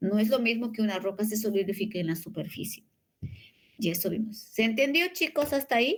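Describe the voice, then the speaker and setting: At a fairly quick pace, a woman speaks with a somewhat breathy voice, a fairly high pitch and lively intonation. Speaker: university lecturer. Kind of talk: lecture. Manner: fast.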